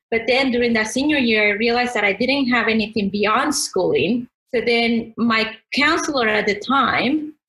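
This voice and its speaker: A woman speaks at a moderate pace in a fairly high pitch. Her loudness stays very even, and her pitch varies an ordinary amount. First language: not English. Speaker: podcast guest. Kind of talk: interview.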